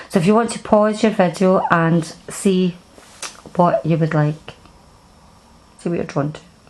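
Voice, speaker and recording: Over noticeable background noise, the voice moves at a moderate pace with ordinary pitch variation and big swings in loudness. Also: woman, medium pitch for a woman. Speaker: tarot card reader. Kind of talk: pick-a-card tarot reading. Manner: halting.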